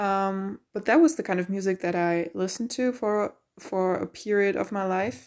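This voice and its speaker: A woman talks at a moderate pace with a non-native accent. Her pitch is medium, with ordinary variation. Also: very clean recording, silent background. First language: not English. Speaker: podcast host, college student and musician. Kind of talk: solo monologue podcast. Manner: casual with many fillers and restarts.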